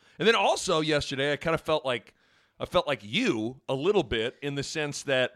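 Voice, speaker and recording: A man with an American accent speaks in a normal speaking voice at a moderate pace, fairly high in pitch with lively intonation and big swings in loudness. The recording is very clean, with a silent background. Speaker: podcast host.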